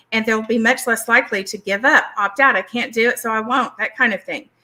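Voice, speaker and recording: High-pitched woman's voice with a Southern US accent, a bright, sharp tone and monotone, flat intonation at a moderate pace. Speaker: licensed therapist and speaker. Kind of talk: educational presentation.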